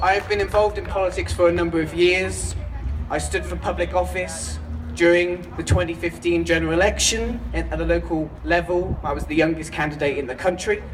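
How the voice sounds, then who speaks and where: Noticeable background noise and audible room echo fill the space. Through it, a man talks fairly quickly. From United Kingdom. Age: 20s. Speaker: political speaker, student. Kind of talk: rally speech. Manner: declamatory, rousing.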